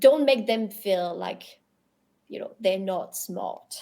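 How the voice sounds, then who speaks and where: A woman with a French accent. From Europe, French-speaking. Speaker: crypto industry professional. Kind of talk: podcast interview. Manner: halting, many repetitions.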